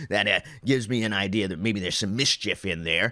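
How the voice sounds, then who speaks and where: In a put-on character voice, a man talks very fast, nasal and at fairly low pitch. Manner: quick, mischievous.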